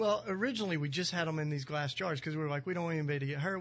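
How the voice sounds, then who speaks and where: His pitch shows ordinary variation. The man has a Southern US accent. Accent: Southern drawl, still noticeable. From US South, East Tennessee mountains. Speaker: activist and author, founder of a community. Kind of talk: radio interview. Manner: casual, many fillers.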